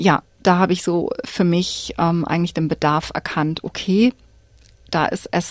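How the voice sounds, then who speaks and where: Fairly slow pace and ordinary pitch variation, with a dry, close sound and no echo. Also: woman. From Cologne, Germany. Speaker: church community educator. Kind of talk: radio interview. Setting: studio. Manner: hesitant with filler sounds.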